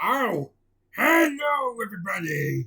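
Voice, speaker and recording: This is a put-on character voice with a fairly high pitch. The delivery moves at a fairly slow pace. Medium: read story.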